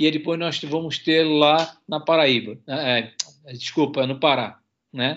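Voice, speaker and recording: Speaking very slowly, a man uses a fairly high voice and fairly even intonation. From Santa Catarina, Brazil (Itajaí). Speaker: university professor and marine conservation researcher. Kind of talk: radio interview. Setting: remote radio interview.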